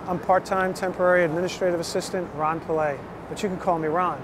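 Background noise comes through noticeably. There is no echo, and the sound is dry. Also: man. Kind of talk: casual direct-to-camera video invitation. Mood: eager, slightly nervous. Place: street. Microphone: phone near.

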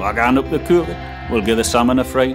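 Fairly low male voice in a Northumbrian accent, with music in the background. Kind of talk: poetry reading.

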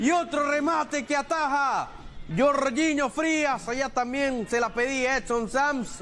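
Against noticeable background noise, a man speaks fairly slowly in an extremely high voice with ordinary pitch variation. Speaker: football commentator. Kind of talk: live football commentary.

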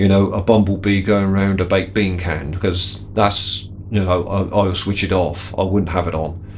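With light background noise behind him, a man uses a normal speaking voice, fairly low in pitch, at a moderate pace. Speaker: workshop hobbyist reviewer. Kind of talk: casual product review chat. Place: workshop.

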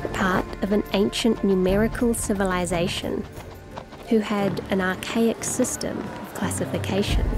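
A woman of medium pitch at a fairly slow pace with fairly even intonation, music in the background. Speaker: narrator. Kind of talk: rhyming story narration.

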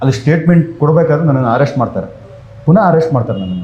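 There is a man speaking with a dark, mellow, somewhat breathy tone and ordinary pitch variation, with audible room echo. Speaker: fan activist. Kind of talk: interview.

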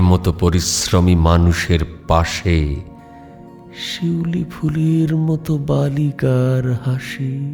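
Music plays in the background as a man speaks. His pitch swings very widely. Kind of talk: poetry reading. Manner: restrained, moving.

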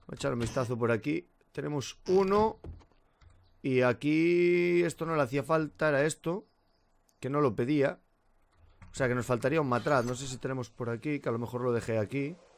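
At a moderate pace, a man talks with long, frequent pauses over light background noise. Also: lively intonation. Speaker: gaming youtuber; gaming streamer. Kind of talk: let's play commentary; casual gameplay commentary. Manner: casual, filler-heavy. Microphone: current mic, new Blue Yeti coming.

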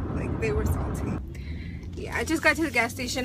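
A woman is speaking. Loud background noise runs underneath her voice. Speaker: vlogger. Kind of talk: casual vlog chat. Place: car. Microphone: phone near.

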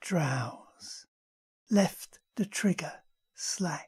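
The voice has a dark, mellow tone, somewhat breathy and dramatic. It moves at a very slow pace with ordinary pitch variation. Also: woman. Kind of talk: poetry reading, spoken word. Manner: slow, measured, dramatic.

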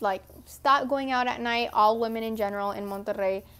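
A woman with an American accent talks at a fairly high pitch. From Texas. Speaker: vlogger. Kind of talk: casual Q&A vlog. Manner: animated. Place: home room. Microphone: earbuds.

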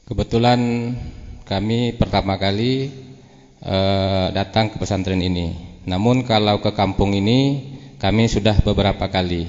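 Over noticeable background noise, a man with a fairly low pitch speaks fairly slowly with fairly even intonation. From Jambi, Sumatra. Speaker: Islamic preacher. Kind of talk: formal speech. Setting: religious gathering with audience.

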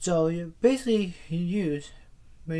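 With ordinary pitch variation, the man's voice has a dark, mellow tone. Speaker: vlogger. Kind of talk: casual vlog chat. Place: home room. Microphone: phone near.

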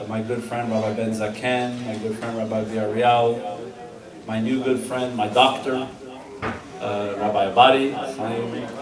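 A man talks at a fairly slow pace in a monotone, flat intonation. Noticeable background noise runs behind him. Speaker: guest. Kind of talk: ceremonial speech. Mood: warm, celebratory. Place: hall. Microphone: camera far.

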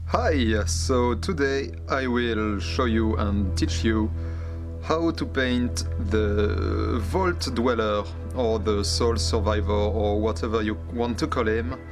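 Over clear music in the background, someone speaks at a very slow pace in a French accent. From France. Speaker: miniature painter. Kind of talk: painting tutorial narration. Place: workshop.

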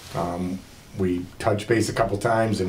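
A man keeps fairly even intonation and a moderate pace while light background noise plays. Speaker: water plant operator reporting to commission. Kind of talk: meeting report. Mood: mildly disappointed. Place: meeting room. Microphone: camera far.

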